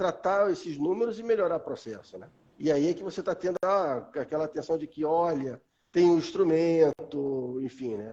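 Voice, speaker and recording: Dark and mellow in tone, a man's fairly high voice moves at a moderate pace with ordinary pitch variation and big swings in loudness. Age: 50s. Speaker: metrology specialist. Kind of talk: live stream conversation. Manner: hesitant, many fillers.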